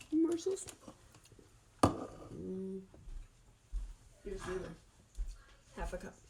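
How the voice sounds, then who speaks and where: A woman speaks very slowly with long, frequent pauses, and noticeable background noise runs underneath. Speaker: home cooking vlogger. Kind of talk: casual cooking tutorial.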